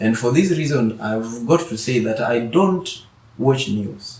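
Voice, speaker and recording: Over noticeable background noise, a man with a medium pitch speaks very slowly, his intonation lively. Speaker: author and mentor. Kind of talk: interview conversation.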